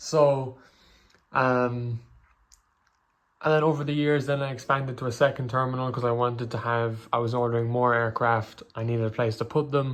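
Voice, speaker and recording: A man with an Irish accent, medium in pitch, monotone and flat, at a moderate pace. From Ireland. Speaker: hobbyist YouTuber. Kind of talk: casual show-and-tell video. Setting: bedroom. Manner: hesitant, many fillers.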